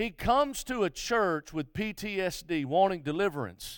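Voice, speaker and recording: In an Alabama accent, a high-pitched man speaks on a very clean recording with a silent background. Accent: Southern US (Alabama). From US South, Mobile, Alabama. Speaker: guest revival preacher. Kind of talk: live revival sermon in church, testimony stories, call-and-response with congregation. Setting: church service with congregation. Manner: impassioned, rhythmic preaching cadence with repetitions and stammered restarts; many filler uhs and repeated words.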